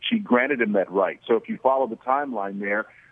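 A man with an American accent speaks at a medium pitch with lively intonation. It is an ordinary speaking voice. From Oklahoma. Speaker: former NFL player, awards organizer. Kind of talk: radio interview.

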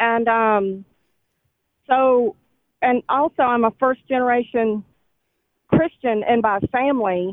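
Speaking very slowly, a woman uses a high pitch with ordinary pitch variation. Her loudness stays very even, and her pauses are long and frequent. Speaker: caller, teacher. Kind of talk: phone-in testimony. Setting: phone call.

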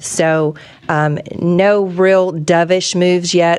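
Over noticeable background noise, a woman speaks at a fairly low pitch in a monotone, flat intonation. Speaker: radio host. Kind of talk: live talk radio show. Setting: live radio studio.

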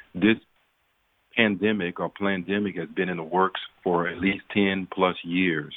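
In a Southern US accent, a man with a very deep, low pitch talks at a fairly slow pace in a monotone, flat intonation with long, frequent pauses. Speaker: physician. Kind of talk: radio interview.

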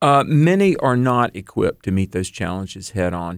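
An unremarkable speaking voice from a man at medium pitch and moderate pace, on a very clean recording with a silent background. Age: 50s. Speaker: author and professor, youth minister. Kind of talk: radio interview.

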